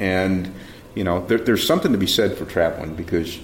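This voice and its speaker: Over noticeable background noise, a man with an American accent speaks at a very deep, low pitch. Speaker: mayor and show host. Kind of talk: interview.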